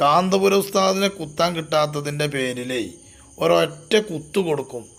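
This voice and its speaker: A man with a fairly high voice speaks in a Malabar accent. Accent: Malabar Malayalam. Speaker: religious YouTuber. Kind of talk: polemical commentary. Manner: animated.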